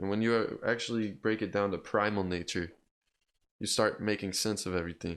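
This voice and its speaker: At a moderate pace, a man with a fairly low pitch and fairly even intonation talks in a plain, everyday voice, recorded very cleanly against a silent background. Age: 20s. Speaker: podcast host. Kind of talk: casual chat.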